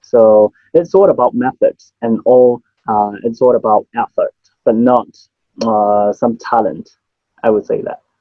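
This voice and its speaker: A man speaks with a Cantonese accent. His pace is fairly slow, with long, frequent pauses. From Hong Kong. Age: 30s. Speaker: memory champion and business owner. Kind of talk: interview.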